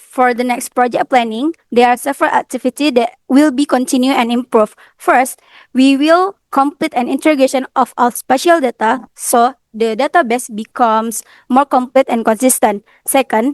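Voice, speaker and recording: At a moderate pace, a woman talks in a high pitch with ordinary variation, her dry sound carrying no echo over a quiet background. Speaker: university student presenter; presenter. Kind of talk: student presentation. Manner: halting. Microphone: video call.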